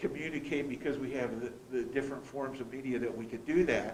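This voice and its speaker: A man's voice with audible room echo. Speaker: school board member. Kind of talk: board meeting discussion. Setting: boardroom meeting, also streamed online. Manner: loud; halting, with many repeated words.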